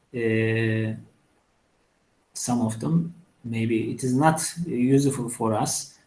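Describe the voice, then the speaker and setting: A man with a Turkish accent, a dark, mellow tone and medium pitch, ordinary pitch variation, a very slow pace with long, frequent pauses, and audible room echo. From Turkey. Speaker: engineering professor. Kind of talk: lecture. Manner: halting, many fillers.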